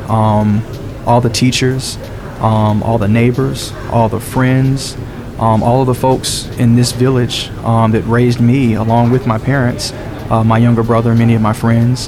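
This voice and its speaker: A man with an American accent and medium pitch speaks at a fairly slow pace in a monotone, flat delivery with very even loudness, with noticeable background noise and audible room echo. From US South, DeKalb County, Georgia. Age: 30s. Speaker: candidate's son. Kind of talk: interview.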